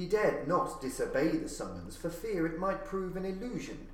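A man talks with lively intonation. Noticeable background noise sits behind him. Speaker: audiobook narrator. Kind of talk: literary audiobook reading of gothic horror fiction. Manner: measured, atmospheric, formal storyteller delivery.

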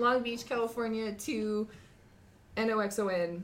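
A woman with an American accent in audible room echo. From Montana. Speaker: podcast guest. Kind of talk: casual chat.

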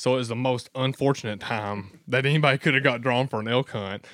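Over a very clean recording with a silent background, a man with an Appalachian accent speaks in fairly even intonation. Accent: Appalachian Kentucky. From southeastern Kentucky. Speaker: hunter. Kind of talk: casual chat.

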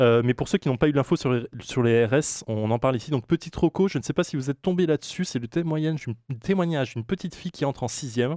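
A dark, mellow voice moves at a fairly quick pace with lively intonation. The recording is very clean and dry, with a silent background and a close sound with no echo. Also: man. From Alsace, France. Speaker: co-presenter. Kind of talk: casual chat.

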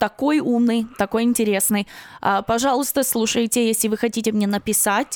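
A woman with an American accent talks at a fairly high pitch with fairly even intonation and very even loudness, the sound dry and close with no echo. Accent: American English without Russian. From Ukraine. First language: Russian. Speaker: comedian. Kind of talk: casual interview chat.

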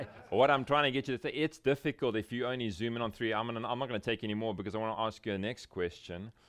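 This man speaks very fast at a medium pitch, with hardly any pauses and ordinary pitch variation. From South Africa. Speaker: pastor. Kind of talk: conference workshop talk. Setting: breakout room with live audience.

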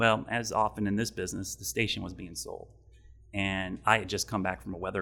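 A man talking very fast at a fairly low pitch, with vocal fry and a bright, sharp tone, on a very clean recording with a silent background. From Ohio, US Midwest. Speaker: TV meteorologist. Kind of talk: interview. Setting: studio.

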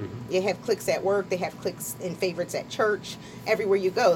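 A woman's medium-pitched voice at a very fast pace, with noticeable background noise. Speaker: author. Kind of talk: casual radio interview. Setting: radio studio.

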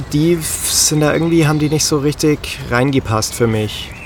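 A man speaks at a moderate pace in a fairly high pitch, with noticeable background noise behind him. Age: 30s. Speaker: podcast host. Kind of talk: casual chat. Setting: outdoors by a river.

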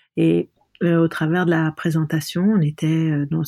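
In a very deep, low pitch, a woman speaks with a dark, mellow tone and monotone, flat intonation. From Lebanon. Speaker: artist and designer. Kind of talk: interview. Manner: halting.

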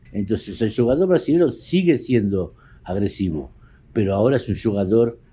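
A man with a medium-pitched, dark and mellow, somewhat breathy voice talks at a moderate pace, with long, frequent pauses. His pitch swings very widely. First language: Spanish (speaking Portuguese). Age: 60s. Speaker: poker photographer. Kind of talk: interview.

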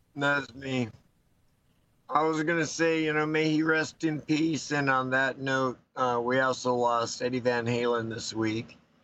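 A man with an American accent speaks in a normal speaking voice at medium pitch. His pace is fairly slow and his intonation fairly even. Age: 60s. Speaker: pastor. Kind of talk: casual chat.

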